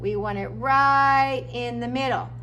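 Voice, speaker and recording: Audible room echo surrounds the speaker. A woman talks at a fairly slow pace. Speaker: music teacher. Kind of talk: tutorial.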